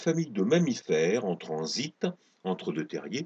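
A man's medium-pitched, dramatic delivery with very wide pitch swings. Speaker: storyteller reading his own sci-fi tale. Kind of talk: dramatic narration of a fable. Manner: dramatic, storytelling tone with flourishes.

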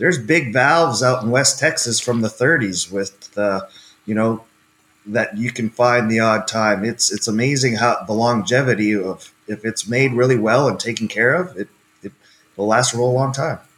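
A man with a plain, everyday voice speaks with a Canadian accent. His pitch is medium, his pace moderate, and his pitch variation ordinary. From Canada. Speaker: equipment company marketing manager. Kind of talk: interview.

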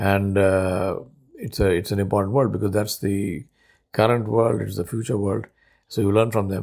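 This man speaks with an Indian accent. His pitch sits fairly low. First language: Urdu. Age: 60s. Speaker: podcaster. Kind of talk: personal reflective monologue. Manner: halting, many filler words.

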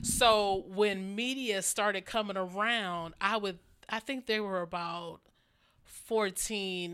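In a normal speaking voice, a woman with an American accent talks at a medium pitch with ordinary pitch variation. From Ohio, Cleveland area. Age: 40s. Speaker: fashion show model. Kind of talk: casual chat.

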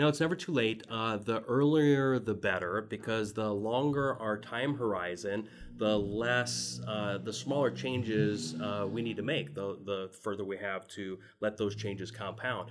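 A man with an American accent and a fairly low pitch speaks at a fairly slow pace with hardly any pauses and ordinary pitch variation. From US Midwest (Chicago, southeast Iowa). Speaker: financial advisor. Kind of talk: casual interview.

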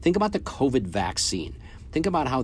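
Vocal fry marks a man's voice as he speaks at a moderate pace. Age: 50s. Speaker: podcast host and business coach for sales agents. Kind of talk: solo motivational business talk. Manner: casual, with frequent filler words.

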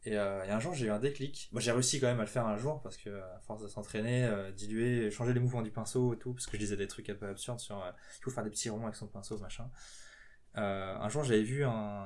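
Speaking very fast, a man with a fairly low pitch keeps his intonation fairly even. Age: 20s. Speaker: professional miniature painter. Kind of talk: interview. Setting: his home workshop.

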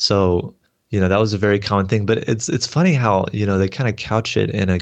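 A man with an American accent and a fairly low pitch talks in a normal speaking voice with ordinary pitch variation. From Texas. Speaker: seminary graduate. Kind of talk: interview.

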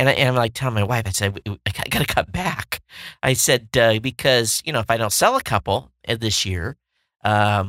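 This man speaks at a moderate pace with a medium pitch, ordinary pitch variation, and a bright, sharp tone, on a very clean recording with a silent background and a dry, close sound with no echo. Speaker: tech podcast host. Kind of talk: casual solo tech news show. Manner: casual with many filler words.

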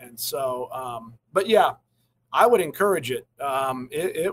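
Man's voice, dry and close with no echo. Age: 40s. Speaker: golf pro and golf club owner. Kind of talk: casual interview. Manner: halting, many fillers.

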